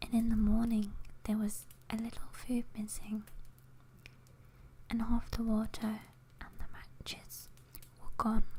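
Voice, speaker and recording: Whispering in an English accent, the soft-spoken voice moves at a fairly slow pace with long, frequent pauses. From England. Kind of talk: ASMR story reading. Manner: soft-spoken, whispered.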